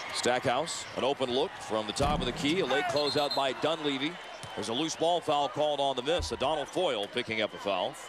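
Over noticeable background noise, a man talks at a fairly quick pace and fairly high pitch, with ordinary pitch variation and very even loudness. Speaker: play-by-play basketball announcer. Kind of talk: live TV play-by-play basketball commentary. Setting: arena broadcast booth with loud crowd. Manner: brisk, rapid-fire calling of each possession; rising excitement on big plays, exclamatory.

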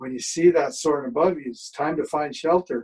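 An ordinary speaking voice from a man, fairly high in pitch, with ordinary pitch variation, a moderate pace, and a quiet background. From Canada, British Columbia (Squamish); British Columbia, Canada. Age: 60s. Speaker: storyteller. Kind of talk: storytelling talk. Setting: video call. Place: home room. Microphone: webcam.

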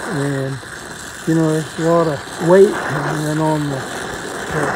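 A man speaks in a fairly high voice at a fairly slow pace. Noticeable background noise runs underneath. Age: 80s+. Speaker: welder. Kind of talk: casual storytelling conversation.

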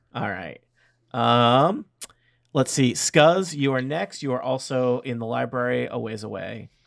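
A man speaks with an unremarkable speaking voice at a medium pitch. His intonation is lively and his pace fairly slow. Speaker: dungeon master running a tabletop game. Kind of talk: tabletop role-playing game narration and banter. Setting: online recording with remote players.

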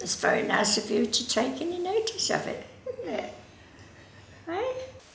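A woman is heard with light background noise and audible room echo. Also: moderate pace. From Scottish Borders. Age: 80s+. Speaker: knitter, yarn bomber. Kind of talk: interview answer.

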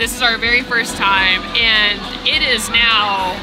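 Music plays clearly behind the voice. The speaker is a woman. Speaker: vlogger. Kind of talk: casual vlog chat. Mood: enthusiastic, happy. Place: street. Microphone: phone near.

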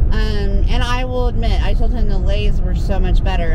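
A woman talks at a moderate pace. Loud background noise runs underneath her voice. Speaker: vlogger. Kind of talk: casual vlog chat. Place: car. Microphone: phone near.

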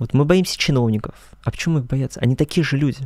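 Moving at a fairly quick pace, a man talks with lively intonation at a fairly high pitch, his tone dark and mellow. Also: quiet background, dry sound with no echo. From Russia, Krasnodar region (rural Kuban); Krasnodar region, Russia. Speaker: choral conductor and student; interview guest. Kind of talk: interview. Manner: formal. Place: studio. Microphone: studio mic.

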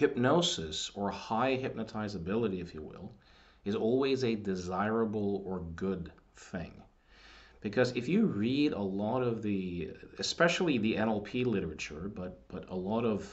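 A man with a normal speaking voice talks at a fairly slow pace, his pitch fairly low with ordinary pitch variation. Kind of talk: casual commentary on books. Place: home room. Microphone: webcam.

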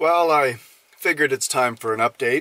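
A man speaks with ordinary pitch variation in a dry recording with no echo. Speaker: road trip vlogger. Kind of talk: casual vlog chat. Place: car. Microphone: phone near.

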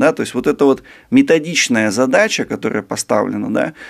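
With a quiet background, a man speaks at a fairly quick pace. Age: 30s. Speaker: sinologist, China expert; guest. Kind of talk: interview. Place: studio. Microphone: studio mic.

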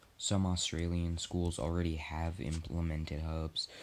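Very deep and low in pitch, a man speaks at a fairly slow pace. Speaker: gameplay commentator. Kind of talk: casual vlog chat, partly reading.

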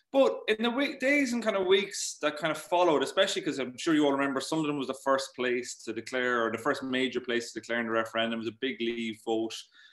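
A man with an Irish accent talks very fast with hardly any pauses, his fairly high pitch carried by lively intonation. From Ireland. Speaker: journalist and author. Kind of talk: talk and Q&A at online meeting. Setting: video call.

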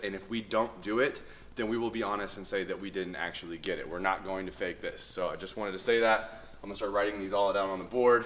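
A man talks at a very fast pace with fairly even intonation. His pitch is fairly low. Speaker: fitness vlogger. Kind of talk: casual vlog chat. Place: gym. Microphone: camera far.

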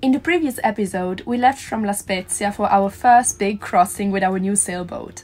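Faint music plays in the background as a woman with an Italian accent talks at a fairly quick pace, her pitch medium with ordinary variation. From Italy. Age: 20s. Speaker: live-aboard sailor. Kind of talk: casual vlog narration.

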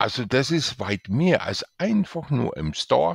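A man's very slow speech with vocal fry and very wide pitch swings, dry and close with no echo, on a very clean recording with a silent background. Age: 60s. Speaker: author and IT specialist promoting his book. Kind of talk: sales pitch.

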